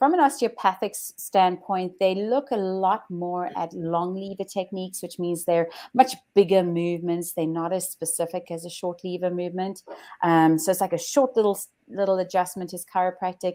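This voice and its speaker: Her dark, mellow voice at a medium pitch carries a South African accent and big swings in loudness, with the woman recorded very cleanly against a silent background. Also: ordinary pitch variation, moderate pace. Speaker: chiropractor. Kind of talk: interview. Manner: hesitant.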